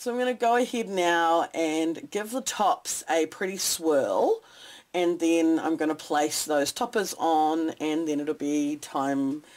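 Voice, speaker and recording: Lively intonation and a very slow pace mark this voice with a New Zealand accent, on a very clean recording with a silent background. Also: woman. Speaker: soap maker. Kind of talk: tutorial.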